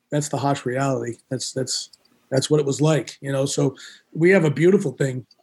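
A man's fairly high, somewhat breathy voice comes at a moderate pace. The intonation is fairly even. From Rhode Island, East Providence. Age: 50s. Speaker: nightclub and concert promoter. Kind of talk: interview. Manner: halting, many fillers.

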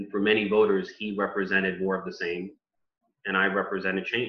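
The voice comes in a New York accent at a fairly quick pace. Its intonation is monotone and flat. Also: man. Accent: New York (Bronx) American English. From US Northeast, the Bronx, New York City. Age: 30s. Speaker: politician. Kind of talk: interview. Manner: articulate, speech-like delivery with some repetitions.

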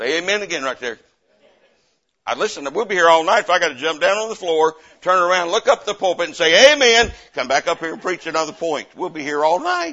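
With a Southern US accent, a high-pitched man talks at a very fast pace with lively intonation. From US South. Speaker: missionary preacher. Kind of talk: revival-style sermon at a church Bible conference, coaxing amens from the congregation. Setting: church pulpit with live congregation. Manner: fervent and animated, punctuating nearly every point with repeated Amen; folksy and repetitive, with frequent stammered restarts.

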